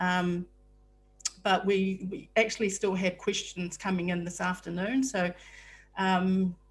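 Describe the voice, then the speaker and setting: A woman with a New Zealand accent speaks at a fairly slow pace with fairly even intonation, sounding somewhat breathy and taking long, frequent pauses. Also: medium pitch for a woman. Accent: New Zealand (Kiwi). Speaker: software support staff, webinar host. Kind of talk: webinar presentation. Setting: video call (Zoom webinar). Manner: hesitant, many filler words.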